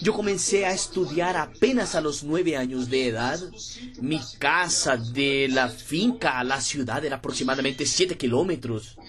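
With a Portuguese accent and lively intonation, a man speaks fairly slowly at a fairly high pitch amid noticeable background noise. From Brazil, interior of Pernambuco. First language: Portuguese (speaking Spanish). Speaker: network marketing leader. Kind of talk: motivational talk.

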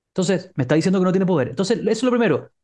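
His tone is dark and mellow. The man's pitch is high. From Chile, San Bernardo (Santiago). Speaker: negotiation expert. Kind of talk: interview.

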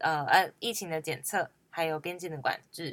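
The tone is bright and sharp, delivered at a moderate pace. The recording is very clean with a silent background. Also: woman. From Hualien, Taiwan (Amis). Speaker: student radio host. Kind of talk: casual chat; public service announcement.

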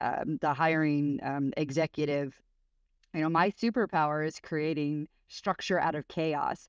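In an American accent, a woman talks with a very deep, low pitch. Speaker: tech executive. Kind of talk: interview. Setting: hotel room, remote call.

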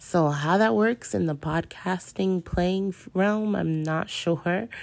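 An unremarkable speaking voice from a woman, with ordinary pitch variation. She talks at a fairly slow pace. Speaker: podcaster who made the hypnosis recording. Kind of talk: casual intro.

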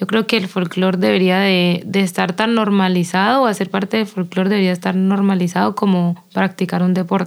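A woman talks at a fairly quick pace with hardly any pauses and very even loudness. Her medium pitch stays in a monotone, flat intonation. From Colombia, Quinamayo, Valle del Cauca. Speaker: folk dancer. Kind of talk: interview.

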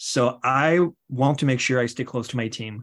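A man with a French accent speaks at a medium pitch and a moderate pace. His ordinary pitch variation sits over a quiet background. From France. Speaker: tech company executive. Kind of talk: interview. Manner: halting.

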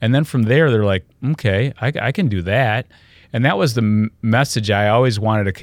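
Recorded dry and close with no echo, a man with an American accent and a normal speaking voice talks at medium pitch and a fairly quick pace, his intonation lively. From US Midwest, Michigan. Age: 60s. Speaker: health and wellness speaker. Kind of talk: interview. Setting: studio.

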